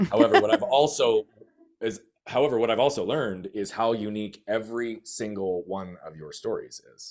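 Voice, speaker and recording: A man speaks fairly quickly at a medium pitch with ordinary variation. His loudness swings widely. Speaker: life coach. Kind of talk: personal testimony in podcast interview. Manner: fast; energetic.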